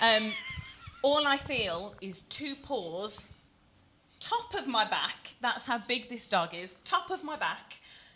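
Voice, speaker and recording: A woman with a British accent and a high pitch speaks at a very slow pace with very wide pitch swings and big swings in loudness, over noticeable background noise. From Britain. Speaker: podcast host. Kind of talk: casual chat.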